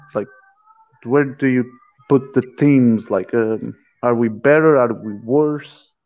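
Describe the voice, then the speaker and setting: At a very slow pace, a man speaks at a medium pitch with fairly even intonation and long, frequent pauses. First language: Portuguese. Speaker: podcast co-host. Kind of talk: casual interview.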